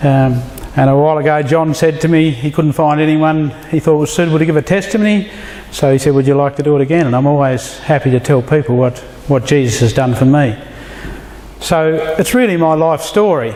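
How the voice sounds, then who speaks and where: A man talks at a fairly quick pace with a rural Australian accent and a fairly high voice. His loudness stays very even against noticeable background noise. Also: ordinary pitch variation. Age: 50s. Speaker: church member giving testimony. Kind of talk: testimony. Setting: men's fellowship dinner with audience.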